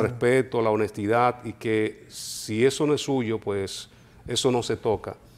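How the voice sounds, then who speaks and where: This man talks at a fairly slow pace, medium in pitch, in an ordinary speaking voice. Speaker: radio announcer. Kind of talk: interview answer.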